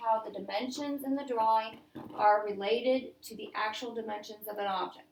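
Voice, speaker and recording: Audible room echo surrounds a woman who speaks at a moderate pace with fairly even intonation. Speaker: math teacher. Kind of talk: classroom lesson. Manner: loud.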